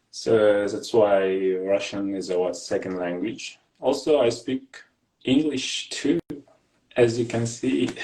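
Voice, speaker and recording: With a Kazakh accent, a man speaks at a very slow pace in a dark, mellow tone, at medium pitch with ordinary pitch variation. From Kazakhstan. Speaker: graduate student and English teacher. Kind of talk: casual interview. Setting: live video call. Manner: halting.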